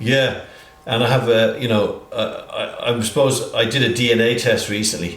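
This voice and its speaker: The speaker has a strong English accent, with audible room echo and noticeable background noise. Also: man, moderate pace. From Ireland, Dublin (born in England). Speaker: healthcare entrepreneur. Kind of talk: interview. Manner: halting, many fillers.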